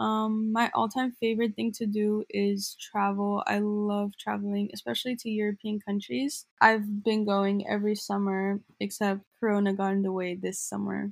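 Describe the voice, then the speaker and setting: With an American accent, a woman speaks in a plain, everyday voice at a moderate pace with hardly any pauses, medium pitch and fairly even intonation, in a dry, close sound with no echo. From Glendale, Southern California. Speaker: student podcast co-host. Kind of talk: scripted podcast intro.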